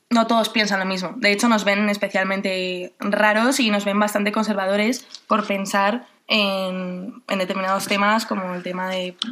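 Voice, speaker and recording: Her intonation is monotone and flat. The woman speaks at a medium pitch and a moderate pace. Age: 20s. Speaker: university student. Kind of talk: radio interview.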